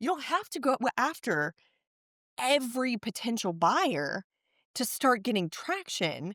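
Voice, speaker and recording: A woman with an American accent speaks at a high pitch and a fairly slow pace, her voice making very wide pitch swings. The sound is dry and close, with no echo. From Texas. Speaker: marketer and author. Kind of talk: podcast interview.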